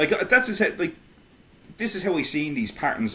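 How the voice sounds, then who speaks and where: With an Irish accent, a man talks using lively intonation. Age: 30s. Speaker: independent history researcher. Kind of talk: casual podcast conversation. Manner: halting, many fillers and restarts.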